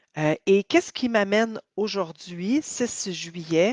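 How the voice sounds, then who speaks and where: A woman in a Quebec accent at a medium pitch, with a dry, close sound and no echo. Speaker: healing coach. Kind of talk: testimony. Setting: live video stream. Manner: hesitant, many fillers.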